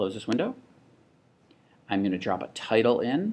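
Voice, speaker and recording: The man keeps a moderate tempo, his voice sitting fairly low. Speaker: teacher demonstrating software. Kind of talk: tutorial. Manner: casual.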